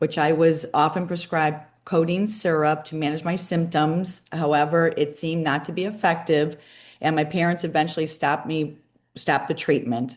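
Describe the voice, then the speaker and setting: A woman's very deep, low voice with fairly even intonation, a moderate pace and a quiet background. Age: 60s. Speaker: personal trainer. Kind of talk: testimony.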